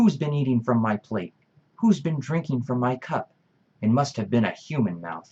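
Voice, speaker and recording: A man adopts a put-on character voice pitched at a medium level. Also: moderate pace. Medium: read story.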